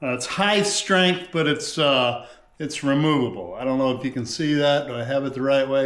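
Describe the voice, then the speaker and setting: A fairly high-pitched man's voice, moderate in pace and lively in intonation, with audible room echo. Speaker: fishing tutorial creator. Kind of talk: tutorial. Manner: loud; casual with many fillers.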